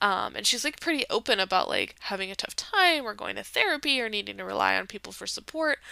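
Over a very clean recording with a silent background, a woman talks at a very fast pace with hardly any pauses. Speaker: podcast host. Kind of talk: solo podcast commentary. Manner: casual with many fillers.

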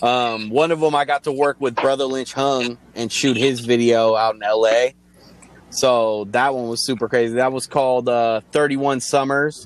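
With an American accent and an unremarkable speaking voice, a man at medium pitch talks at a fairly slow pace with fairly even intonation. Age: 30s. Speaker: music video director, beat producer and rapper. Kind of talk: casual chat.

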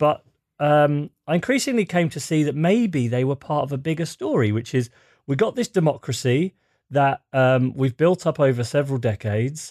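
A man with an ordinary speaking voice and a fairly high pitch talks at a moderate pace, the sound dry and close with no echo over a quiet background. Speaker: journalist and author. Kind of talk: interview.

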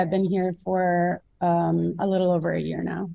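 A woman talks in a dark, mellow tone with an American accent. Her pace is fairly slow. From US Midwest, Minnesota. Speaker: nutrition content creator. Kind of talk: casual interview.

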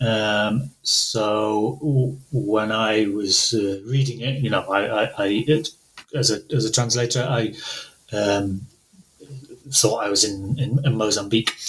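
The pace is very slow. Background noise is noticeable throughout. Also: man, medium pitch for a man, ordinary pitch variation. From northern England. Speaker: translator. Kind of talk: interview conversation with readings. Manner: hesitant, many filler words.

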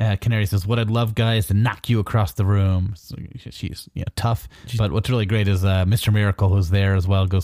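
The reading comes in a natural reading voice, its intonation fairly even.

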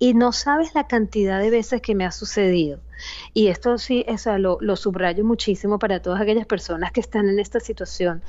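In a Venezuelan accent, a woman talks at a fairly quick pace with a medium pitch, ordinary pitch variation and very even loudness. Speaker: psychologist. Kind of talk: interview.

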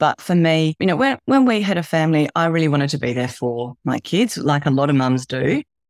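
A woman speaks in a very deep, low pitch, the sound dry and close with no echo. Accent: Australian. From Australia. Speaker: health coach. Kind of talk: interview. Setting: remote call, early morning.

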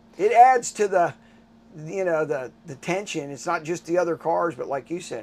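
Here is a man with a plain, everyday voice. His intonation is lively. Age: 60s. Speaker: restaurant owner and amateur racing driver. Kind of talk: casual interview. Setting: in an RV at a race track.

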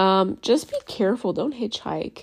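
Lively intonation with vocal fry. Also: woman. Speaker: podcast host reviewing another show's episodes. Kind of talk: casual solo commentary. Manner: rambling, informal.

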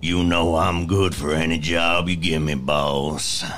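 In a put-on character voice, a man speaks fairly slowly with a very deep, raspy, monotone delivery over clear background noise. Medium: actual play. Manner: gruff, drawling.

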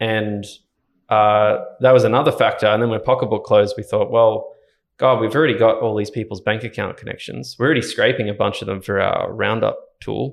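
Talking fairly quickly, a man speaks in an Australian accent. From Ballina, Northern Rivers, New South Wales, Australia. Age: 20s. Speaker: software engineer and startup co-founder. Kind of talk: casual interview chat.

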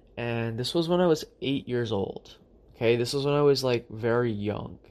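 A man's unremarkable speaking voice at medium pitch, moving at a fairly quick pace. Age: 20s. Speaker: spiritual podcast host. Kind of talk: solo spiritual monologue.

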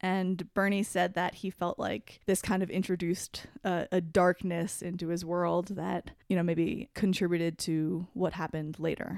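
A woman's fairly low, monotone voice with flat intonation, hardly any pauses, and a very clean recording over a silent background. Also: moderate pace. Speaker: podcast co-host. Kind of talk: casual chat with scripted segments. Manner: laughs often.

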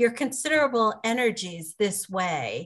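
Over a quiet background, a woman with an unremarkable speaking voice talks at a fairly slow pace with ordinary pitch variation. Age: 50s. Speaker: podcast host. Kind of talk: casual interview.

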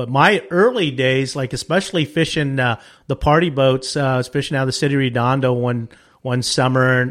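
Speaking at a fairly quick pace, a man keeps his intonation fairly even at a medium pitch. The recording is very clean, with a silent background. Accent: American. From Southern California, Wilmington/San Pedro area. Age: 60s. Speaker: fishing charter captain. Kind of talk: casual interview.

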